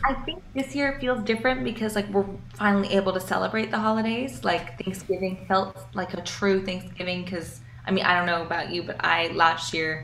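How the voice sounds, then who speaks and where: A woman's lively, fairly quick speech with an American accent, with noticeable background noise and audible room echo. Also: medium pitch for a woman. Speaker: singer-songwriter. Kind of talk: casual interview chat.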